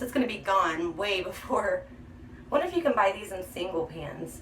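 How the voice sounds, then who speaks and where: A woman keeps a moderate pace and ordinary pitch variation while noticeable background noise runs underneath. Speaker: beauty vlogger. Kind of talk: makeup tutorial. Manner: chatty.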